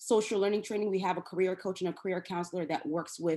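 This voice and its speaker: A woman talks at a medium pitch against a quiet background. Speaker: nonprofit program representative. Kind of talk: webinar presentation. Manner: fast; halting, many fillers.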